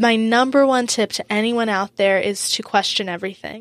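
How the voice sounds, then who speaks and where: Recorded very cleanly against a silent background, a woman speaks in an American accent at medium pitch. Her intonation is monotone and flat, at a moderate pace. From US South Florida, Boca Raton. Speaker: student and social media influencer. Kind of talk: podcast interview. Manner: hesitant, frequent um fillers.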